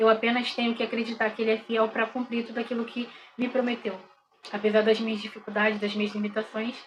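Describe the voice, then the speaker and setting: A woman speaks with fairly even intonation. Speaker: bible teacher. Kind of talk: bible study lesson. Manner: halting.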